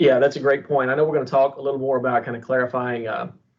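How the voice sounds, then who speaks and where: A man talks with a Texan accent. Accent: own accent remarked on, Texan. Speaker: university internship program director. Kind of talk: webinar conversation.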